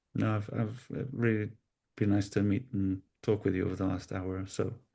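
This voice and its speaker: Somewhat breathy and dark, mellow in tone, a man's fairly low voice holds a monotone, flat intonation at a moderate pace. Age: 60s. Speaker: podcast host. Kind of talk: interview.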